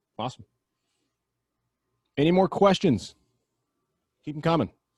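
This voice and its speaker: This man's voice sits fairly high, with vocal fry and lively intonation. The sound is dry and close, with no echo. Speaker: webinar host for software company. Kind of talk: webinar Q&A. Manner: fast.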